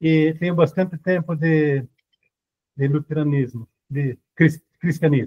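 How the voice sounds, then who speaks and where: A dark, mellow tone moves at a fairly slow pace with fairly even intonation. Long, frequent pauses break the speech, and the sound is dry and close with no echo. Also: man, fairly high pitch for a man. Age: 70s. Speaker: congregation member asking question. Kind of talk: question from audience. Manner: halting, hesitant.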